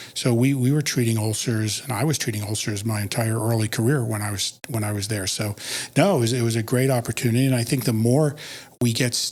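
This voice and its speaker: The voice is somewhat breathy, with an American accent. It moves at a very fast pace with fairly even intonation. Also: man, medium pitch for a man. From US Northeast, Philadelphia. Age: 60s. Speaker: podiatric physician and educator. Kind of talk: podcast interview.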